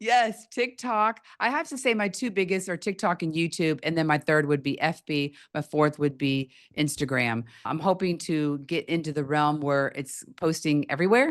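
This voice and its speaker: Against a quiet background, a woman with a very deep, low voice speaks at a moderate pace with lively intonation. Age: 60s. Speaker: podcast host, affiliate marketer. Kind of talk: casual chat.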